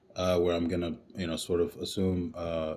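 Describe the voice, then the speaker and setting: A man's very deep, low, monotone voice with a dark, mellow tone, very fast pace and New York accent, in a very clean recording with a silent background. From Brooklyn, New York. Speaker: author and academic director. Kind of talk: podcast interview. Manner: hesitant, many fillers.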